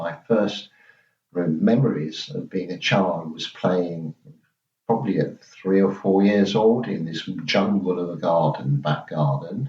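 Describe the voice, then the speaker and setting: A man with a southern English accent speaks in a very deep, low voice. His pace is very slow. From southeast England, Margate, Kent. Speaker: interviewee sharing childhood memories. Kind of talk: oral history interview.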